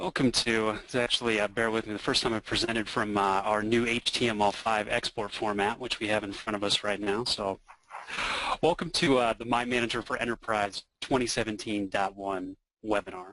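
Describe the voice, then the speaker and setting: Fairly low in pitch, a man speaks at a fairly quick pace. His intonation stays fairly even. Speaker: software product expert. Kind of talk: software demo presentation. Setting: online webinar. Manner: fast.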